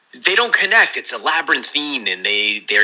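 An American accent at a fairly quick pace, with noticeable background noise. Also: man. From New Jersey. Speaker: novelist. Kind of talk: interview.

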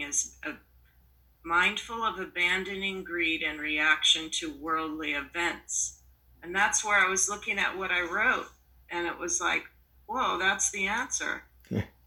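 Fairly slow speech from a woman at a medium pitch, ordinary pitch variation, and noticeable background noise behind her. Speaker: retreat participant. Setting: video call.

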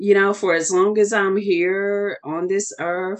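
A voice with a Southern US accent over a quiet background. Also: woman. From US South. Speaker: wellness coach and author. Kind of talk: casual interview.

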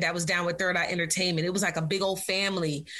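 A woman with an American accent speaks at medium pitch in a bright, sharp tone with fairly even intonation. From Virginia Beach, US. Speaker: hip hop artist. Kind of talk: casual interview chat.

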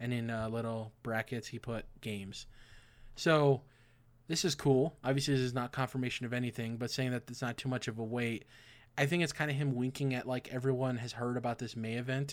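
A man speaks at a fairly quick pace in a medium pitch, with an ordinary speaking voice. The recording is very clean, with a silent background. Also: fairly even intonation. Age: 20s. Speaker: video game podcast host. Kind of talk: casual chat.

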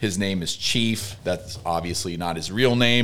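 A man in a normal speaking voice keeps a moderate pace, his fairly low pitch carried by fairly even intonation. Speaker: podcast co-host. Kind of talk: casual chat.

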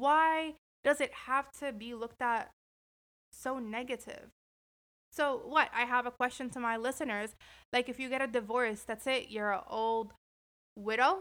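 Long, frequent pauses break up this fairly slow delivery, which has a bright, sharp tone, ordinary pitch variation and a very clean recording with a silent background. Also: woman, high pitch for a woman. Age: 20s. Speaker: podcast host. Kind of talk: casual monologue. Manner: animated.

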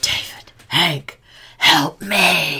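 A raspy, put-on character voice. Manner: spooky, pleading.

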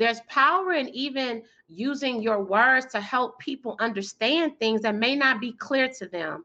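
Keeping a moderate pace with hardly any pauses, a woman speaks at a high pitch with ordinary pitch variation. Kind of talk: casual interview. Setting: video call.

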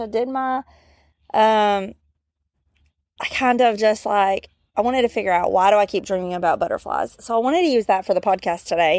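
The recording is very clean and the background silent. A woman talks in a Southern US accent. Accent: Southern US drawl. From US South. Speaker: podcast host. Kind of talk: casual chat. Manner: casual, many fillers.

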